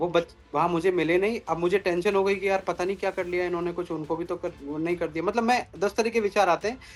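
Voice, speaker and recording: A man speaks with fairly even intonation and hardly any pauses in a very clean recording with a silent background. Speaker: temple devotee, viral video subject. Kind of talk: interview answer.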